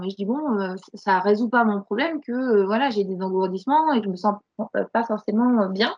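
With ordinary pitch variation, a woman talks in a fairly high pitch. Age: 40s. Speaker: burnout survivor and coach. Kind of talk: testimony. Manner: halting, many repetitions and fillers.

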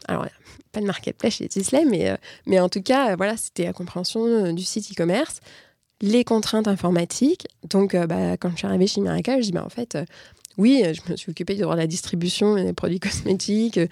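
On a very clean recording with a silent background, a woman speaks at a moderate pace in a dark, mellow tone with a medium pitch and ordinary pitch variation. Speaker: in-house corporate lawyer. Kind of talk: interview.

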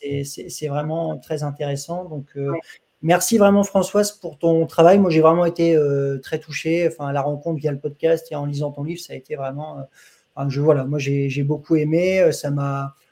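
A man speaks with a fairly high pitch and a dark, mellow tone. His intonation is fairly even, and his pace is moderate. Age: young. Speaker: doctor and interviewer. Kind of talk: interview. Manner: halting.

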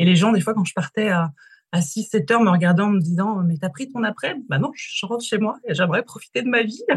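Her pace fairly quick, a woman speaks at a medium pitch with lively intonation and a somewhat breathy voice. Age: 30s. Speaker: business coach. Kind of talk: interview.

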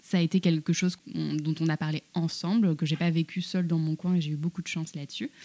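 Dry, close sound with no echo carries a woman's fairly low voice with a dark, mellow tone. She talks at a fairly quick pace in a monotone, flat intonation. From France, Paris, North African heritage. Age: 30s. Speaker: journalist and cookbook author. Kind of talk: casual interview conversation. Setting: small room behind a juice workshop.

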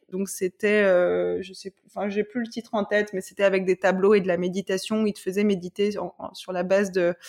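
A woman speaks at a moderate pace and a medium pitch. Her intonation is monotone and flat. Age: 20s. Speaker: corporate lawyer and yoga teacher. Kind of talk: personal testimony in casual interview. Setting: podcast interview. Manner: halting, many repetitions.

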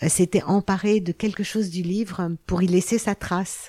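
A woman at a fairly slow pace, with a dry, close sound and no echo. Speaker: biographer and anthropologist. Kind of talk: interview. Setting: research laboratory. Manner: hesitant, with many fillers.

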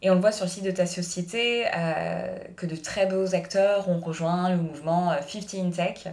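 Speaking fairly slowly at medium pitch with fairly even intonation, a woman is heard with audible room echo and noticeable background noise. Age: 30s. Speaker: podcast host. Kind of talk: scripted narration; interview.

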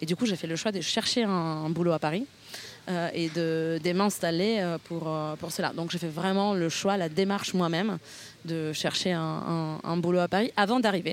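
Noticeable background noise accompanies moderately paced speech. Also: woman, fairly low pitch for a woman, fairly even intonation. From northern Italy, near Milan. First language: Italian (speaking French). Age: 30s. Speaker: podcast guest. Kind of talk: interview conversation. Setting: outdoors in a park. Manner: hesitant, many fillers.

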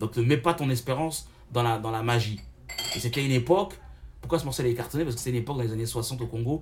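A medium-pitched man at a very fast pace with long, frequent pauses and ordinary pitch variation, over noticeable background noise. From Paris suburbs, France. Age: 30s. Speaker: rapper and online show host. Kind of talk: casual interview. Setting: restaurant. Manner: talkative.

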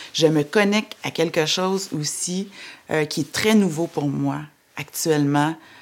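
Fairly slow speech from a woman with a very deep, low voice. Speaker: entrepreneur. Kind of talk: testimony.

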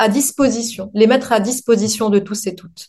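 A woman speaks against a quiet background. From Lebanon. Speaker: neuropsychologist. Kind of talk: interview.

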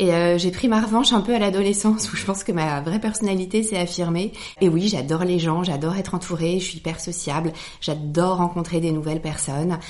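Over noticeable background noise, a woman with a fairly low pitch talks at a fairly quick pace with ordinary pitch variation. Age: 40s. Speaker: hotelier. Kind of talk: casual chat.

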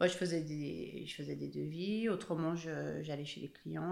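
Audible room echo surrounds a woman speaking in a fairly low pitch. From Haute-Savoie, France (Evian). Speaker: author. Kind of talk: interview.

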